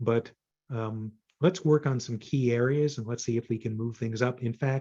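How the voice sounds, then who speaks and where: A man's voice comes across dark and mellow, with a somewhat breathy quality. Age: 60s. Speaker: data visualization consultant and author. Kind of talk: presentation to user group. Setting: video call. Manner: hesitant, many fillers.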